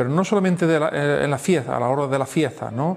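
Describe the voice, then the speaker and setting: A man's voice amid noticeable background noise. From Andalusia, Spain (Andújar, Jaén). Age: 60s. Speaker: pastor. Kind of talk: testimony interview. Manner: halting, many fillers and repetitions.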